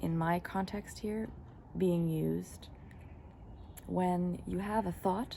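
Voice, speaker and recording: A woman with a fairly low pitch talks at a very slow pace. She leaves long, frequent pauses, sounding somewhat breathy with fairly even intonation. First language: German and English (bilingual). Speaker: spiritual teacher. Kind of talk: spiritual talk. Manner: reflective, with fillers.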